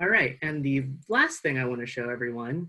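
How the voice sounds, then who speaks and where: This is a man speaking with an American accent. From US West (California). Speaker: nonprofit program assistant and event host; event host. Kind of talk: webinar hosting. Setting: video call. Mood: upbeat, friendly. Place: home room. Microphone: earbuds.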